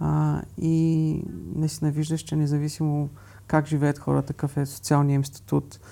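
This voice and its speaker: A man speaks at a very slow pace. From Bulgaria. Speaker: architect and travel photographer. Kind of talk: interview. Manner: halting.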